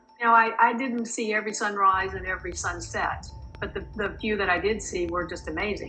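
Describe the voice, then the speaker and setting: Music plays in the background while a woman talks at a fairly quick pace. The room echo is audible. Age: 60s. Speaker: channel owner's mother, first-time festival goer. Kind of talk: casual interview.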